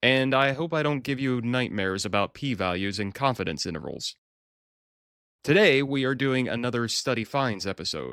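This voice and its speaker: A man talks at a medium pitch and a moderate pace. His intonation is lively. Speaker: podcast host, occupational safety and health researcher. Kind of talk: solo podcast commentary on a study. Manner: animated.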